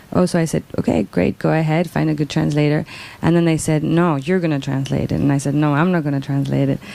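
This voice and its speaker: Very fast and at very even loudness, a woman with a Spanish accent speaks in a very deep, low pitch with a dark, mellow tone. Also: ordinary pitch variation. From Mexico. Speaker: author. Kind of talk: Q&A answer at book talk. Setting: bookshop event with audience. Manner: halting, many repetitions.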